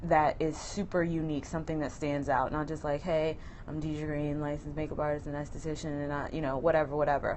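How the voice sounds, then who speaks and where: A woman speaks in a monotone with flat intonation and a very deep, low pitch. Room echo is audible. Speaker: makeup artist and beauty business owner. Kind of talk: live-stream tutorial. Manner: fast; casual with frequent um fillers.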